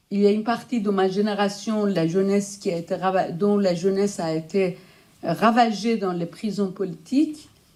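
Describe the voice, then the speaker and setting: In a Persian accent, a woman speaks at a medium pitch with a dark, mellow tone. Her pace is moderate, her intonation fairly even, and the recording very clean with a silent background. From Iran. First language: Persian (speaking French). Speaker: writer and researcher, conference speaker. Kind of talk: lecture. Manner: halting.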